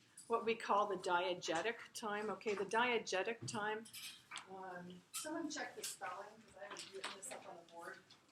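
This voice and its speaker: A woman with big swings in loudness, audible room echo and noticeable background noise. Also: medium pitch for a woman, ordinary pitch variation, moderate pace. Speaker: literature instructor. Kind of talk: lecture. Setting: classroom. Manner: projecting loudly.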